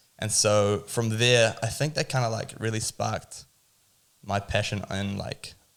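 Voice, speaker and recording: Speaking with a New Zealand accent, a man at a medium pitch keeps a fairly slow pace. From New Zealand (Tauranga), Dutch-born. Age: 20s. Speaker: cafe owner and barista. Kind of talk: casual podcast interview.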